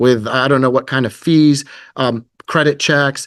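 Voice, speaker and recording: At a moderate pace, a man with a fairly high pitch talks in a monotone, flat intonation against a quiet background. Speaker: company representative presenting to real estate agents. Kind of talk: business presentation with sales pitch. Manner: hesitant, many fillers.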